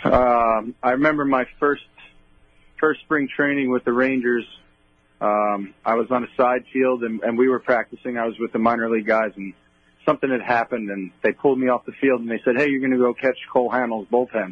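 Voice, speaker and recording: A man's medium-pitched voice with a Long Island accent and fairly even intonation. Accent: Long Island New York. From Long Island, New York. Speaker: baseball bullpen catcher. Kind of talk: radio interview.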